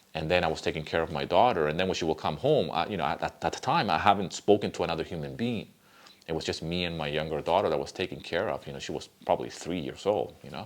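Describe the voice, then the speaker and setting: A man with a Spanish accent talks very fast with vocal fry, a very deep, low pitch, and ordinary pitch variation. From Venezuela. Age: 50s. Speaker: music composer and YouTuber. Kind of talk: casual vlog talk. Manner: conversational with fillers.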